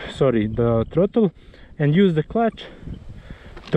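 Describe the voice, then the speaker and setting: Here a man speaks with a non-native accent. His pitch is fairly high. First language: not English. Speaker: enduro rider, video tutorial maker. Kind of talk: tutorial. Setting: outdoors. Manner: halting.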